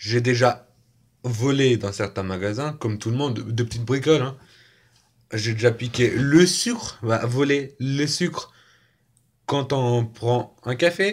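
Speaking at a very slow pace with long, frequent pauses, a man sounds somewhat breathy and uses ordinary pitch variation. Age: 20s. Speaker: youtuber; vlogger. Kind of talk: casual vlog monologue. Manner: halting, with repetitions. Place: home room. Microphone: phone near.

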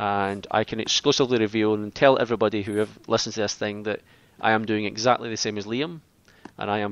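This man talks very fast in a Scottish accent. His pitch sits fairly low and his intonation stays fairly even. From Scotland. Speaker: podcast host. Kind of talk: casual chat.

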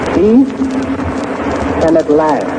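Background noise is noticeable here. Through it, a man talks. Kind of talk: formal public address.

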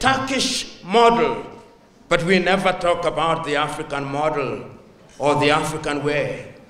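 A man talks at a fairly slow pace. Room echo is audible in the recording. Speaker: guest. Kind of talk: speech. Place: hall. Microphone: handheld.

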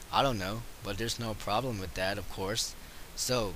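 A man speaks at a moderate pace with fairly even intonation. Noticeable background noise runs under his voice. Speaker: video game reviewer. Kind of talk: game review voice-over. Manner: casual.

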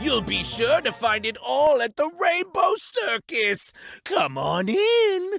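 Someone in a put-on character voice speaks at a fairly slow pace with a high pitch, a theatrical tone and very wide pitch swings, while faint music plays in the background. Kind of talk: game trailer announcer read. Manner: showy, theatrical.

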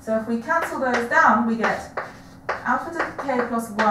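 A woman talks over loud background noise, with audible room echo. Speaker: maths lecturer. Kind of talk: lecture. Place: classroom. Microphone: camera far.

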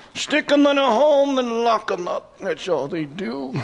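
A man performs a put-on character voice over light background noise. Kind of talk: live comedy club performance.

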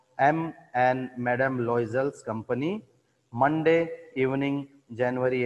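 Pitch varies in an ordinary way in this plain reading aloud, set against a quiet background.

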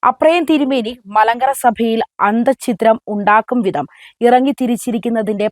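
With an unremarkable speaking voice, a woman talks at a fairly high pitch and with lively intonation. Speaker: church news commentator. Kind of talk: scripted news commentary.

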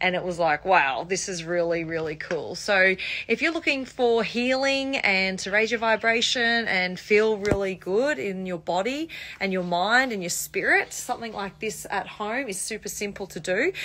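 This woman talks at a moderate pace with lively intonation. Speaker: home lifestyle creator. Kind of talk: casual vlog chat. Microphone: phone near.

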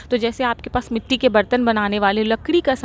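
A woman's voice shows ordinary pitch variation in a dry recording with no echo and light background noise. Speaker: vlogger host. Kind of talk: casual vlog tour commentary. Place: market. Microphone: lapel.

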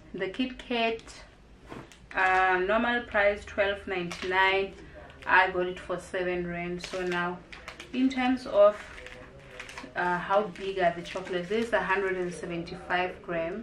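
Speaking at a very slow pace with fairly even intonation, a woman leaves long, frequent pauses amid light background noise and audible room echo. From South Africa. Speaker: YouTuber, food reviewer. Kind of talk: product review vlog. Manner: casual, hesitant with fillers. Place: home room. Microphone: camera far.

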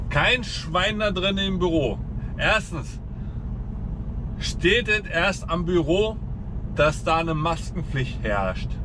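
This is a man speaking. There is noticeable background noise. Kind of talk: casual vlog chat. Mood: annoyed, ranting. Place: car. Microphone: camera far.

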